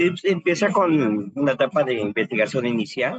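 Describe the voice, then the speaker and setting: Pitch leaping across a very wide range, a man talks at a fairly unhurried pace. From Mexico City, Xochimilco. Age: 60s. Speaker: criminal defense lawyer, master's student. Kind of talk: class discussion.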